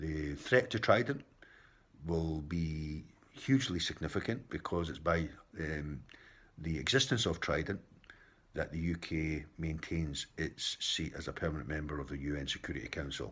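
With a Scottish accent and a very deep, low pitch, a man talks at a moderate pace with ordinary pitch variation. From Scotland. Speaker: political commentator. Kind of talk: opinion monologue. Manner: impassioned. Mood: frustrated, opinionated. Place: home room. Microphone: phone near.

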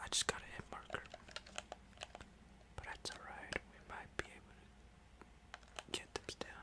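A whispered voice moves at a moderate pace, broken by long, frequent pauses. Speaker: gaming ASMR creator. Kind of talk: ASMR gameplay commentary. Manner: relaxing.

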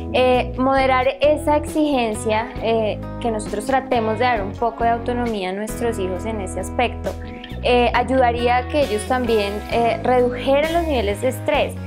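A woman talks at a moderate speed while clear music plays behind her. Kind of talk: interview answer. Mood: calm, earnest. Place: home room. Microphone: lapel.

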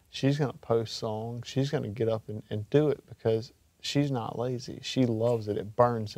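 A man with a Mississippi accent talks at a fairly quick pace. His tone is dark and mellow, his intonation fairly even. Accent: Southern US (Mississippi). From Mississippi Gulf Coast. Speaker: country singer-songwriter. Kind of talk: interview. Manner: halting, with many fillers.

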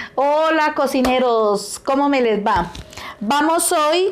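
Light background noise sits behind a woman speaking at a very slow pace. Her intonation is lively. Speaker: home cook host. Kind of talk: cooking tutorial chat. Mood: warm, cheerful, nostalgic. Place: kitchen.

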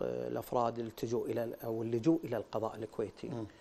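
Varying his pitch in an ordinary way, a man talks at a moderate speed. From Kuwait. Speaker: former member of parliament. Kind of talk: TV interview. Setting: studio. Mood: critical, questioning. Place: studio. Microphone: lapel.

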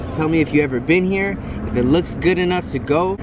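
Against noticeable background noise, a man speaks at a fairly quick pace with ordinary pitch variation, the sound dry with no echo. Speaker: food vlogger. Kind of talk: casual vlog chat. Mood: relaxed, friendly. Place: street. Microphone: phone near.

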